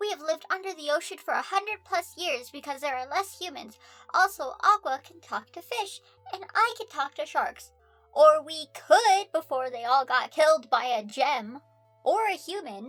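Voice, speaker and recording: Over faint music in the background, a woman uses a squeaky, put-on character voice at an extremely high pitch, with very wide pitch swings, big swings in loudness and a moderate pace. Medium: read story. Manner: blunt, aggressive.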